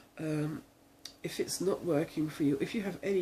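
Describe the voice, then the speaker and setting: Speaking with an English accent, a woman has a very deep, low pitch and a dark, mellow, somewhat breathy tone. Her pace is moderate, with ordinary pitch variation. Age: 60s. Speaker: video blogger with multiple sclerosis. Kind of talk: casual talk to camera. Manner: halting, many fillers.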